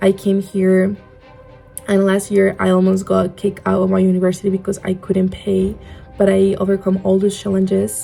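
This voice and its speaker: With music in the background, a woman with a Spanish accent speaks at a moderate pace and medium pitch, her intonation monotone and flat and her loudness very even. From Spain. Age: 20s. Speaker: podcast host. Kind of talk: casual podcast talk.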